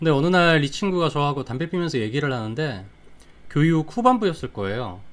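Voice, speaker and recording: A man's fairly high voice at a fairly quick pace, full of very wide pitch swings. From Daejeon, South Korea. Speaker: digital marketing YouTuber. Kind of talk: livestream storytelling. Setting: live stream. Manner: casual, conversational.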